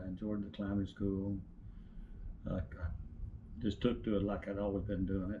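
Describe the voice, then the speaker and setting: With an East Tennessee accent, a man speaks at a moderate pace in a fairly low, somewhat breathy voice that is dark and mellow in tone. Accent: Southern US (East Tennessee). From East Tennessee, US. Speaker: retired utility lineman. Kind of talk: interview answer.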